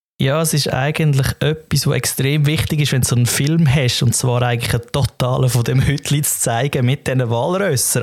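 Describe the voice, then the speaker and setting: Fairly quick speech in a Swiss German accent, with noticeable background noise. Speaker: podcast co-host. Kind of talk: casual chat.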